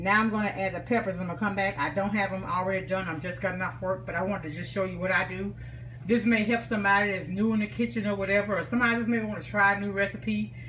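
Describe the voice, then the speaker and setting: A woman with an American accent talks at a very fast pace with ordinary pitch variation. Audible room echo and noticeable background noise surround her voice. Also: medium pitch for a woman. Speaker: home cook. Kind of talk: cooking tutorial. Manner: casual.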